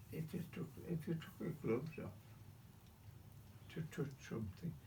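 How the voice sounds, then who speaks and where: A man's fairly high-pitched voice with a dark, mellow tone, vocal fry, lively intonation and a moderate pace, plus audible room echo. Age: 90s. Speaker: WW2 navy veteran. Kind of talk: casual interview. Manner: repetitive.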